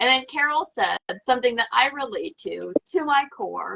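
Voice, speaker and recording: A woman with an American accent speaks in a raised, projected voice at a high pitch. The sound is dry and close, with no echo. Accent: slight southern US accent, stronger when mad. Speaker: tarot livestream host. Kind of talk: casual livestream chat.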